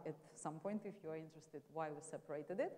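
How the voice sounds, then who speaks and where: A woman speaks with a Russian accent and ordinary pitch variation. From Russia, Moscow. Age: 40s. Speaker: marketing executive. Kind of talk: lecture.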